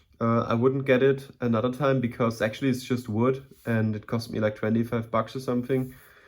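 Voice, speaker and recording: A man with a German accent speaks at a moderate pace, his medium-pitched voice flat and monotone. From Germany. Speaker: aquarium hobbyist YouTuber. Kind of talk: casual tutorial tank tour. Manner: hesitant, many fillers and repetitions.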